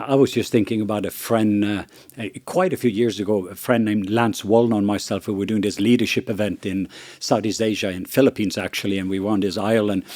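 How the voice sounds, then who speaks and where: In a Norwegian accent, a man talks at a very fast pace and fairly low pitch. His intonation is fairly even, and the recording is very clean with a silent background. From Norway. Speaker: missionary and ministry leader. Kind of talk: podcast conversation. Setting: studio around a table.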